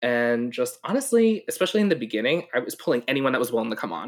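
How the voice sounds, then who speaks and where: A man with an American accent speaks at a very fast pace with lively intonation. The recording is very clean, with a silent background. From New York. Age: 20s. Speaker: mental health professional. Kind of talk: casual interview. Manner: animated.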